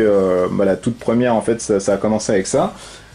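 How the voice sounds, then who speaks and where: Noticeable background noise accompanies a man whose speech moves at a moderate rate. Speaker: board game reviewer. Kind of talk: tutorial. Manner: hesitant, many fillers.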